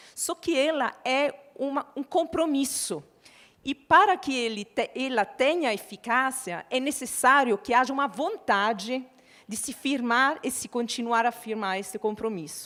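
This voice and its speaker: Speaking with an Italian accent, a woman has a high pitch and a bright, sharp tone. Her intonation is lively, her pace fairly slow. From Italy. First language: Italian (speaking Portuguese). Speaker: panel moderator. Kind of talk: panel moderation.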